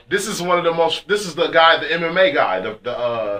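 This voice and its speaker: A man with an American accent, a fairly high pitch, an animated tone and lively intonation, over noticeable background noise. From California, Fresno. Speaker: radio host. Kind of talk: casual chat.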